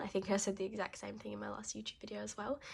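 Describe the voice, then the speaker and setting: Somewhat breathy, a woman talks at a very fast pace. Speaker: budgeting vlogger. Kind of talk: casual vlog talk to camera. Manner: halting, with pauses.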